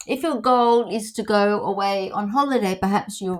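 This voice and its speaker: Heard here is a woman with a medium pitch. She speaks at a moderate pace with fairly even intonation. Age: 60s. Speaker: wellness vlogger and counsellor. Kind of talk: casual advice talk. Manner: halting, with many fillers.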